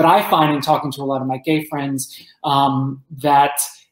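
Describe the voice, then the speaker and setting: A man with an American accent speaks at a fairly high pitch with fairly even intonation. The background is quiet, though there is audible room echo. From New Jersey, Roselle Park; New Jersey. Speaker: entertainment journalist and author; guest. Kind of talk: interview. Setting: podcast. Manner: halting, many fillers. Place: home room.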